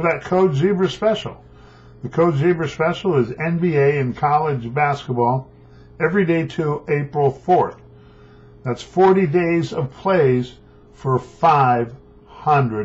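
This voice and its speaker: Speaking at a very slow pace, this man sounds somewhat breathy, and his pitch varies in an ordinary way. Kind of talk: promotional sports picks talk. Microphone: webcam.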